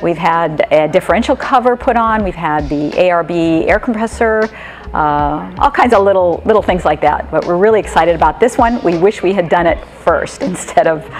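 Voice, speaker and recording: A woman talks at a moderate pace and a fairly low pitch while music plays in the background. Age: 60s. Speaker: van traveler, customer. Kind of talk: interview testimony. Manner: casual, with fillers.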